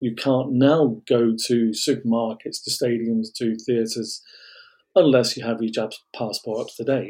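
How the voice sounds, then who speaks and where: A man's medium-pitched, dark and mellow voice with an English Midlands accent, fairly even intonation and a fairly slow pace. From England. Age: 50s. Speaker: vaccine injury advocate. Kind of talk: interview.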